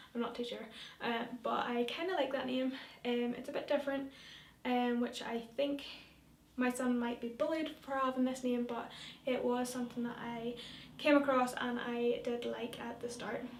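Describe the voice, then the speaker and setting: In a Northern Irish accent, a woman speaks at a high pitch and a moderate pace. Her intonation is monotone and flat, with audible room echo. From Northern Ireland, rural. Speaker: vlogger. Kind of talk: casual vlog talk. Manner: hesitant, many fillers.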